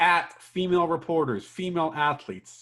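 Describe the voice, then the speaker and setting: On a very clean recording with a silent background, the words come at a fairly slow pace. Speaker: sports podcast co-host. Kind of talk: casual chat. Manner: sarcastic tone; halting, repeats words.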